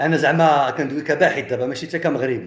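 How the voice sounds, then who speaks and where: A man's fairly high, somewhat breathy voice in an animated tone at a fairly quick pace. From Morocco. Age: 60s. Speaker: history and heritage researcher, commentator. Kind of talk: monologue commentary addressed to viewers. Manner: halting.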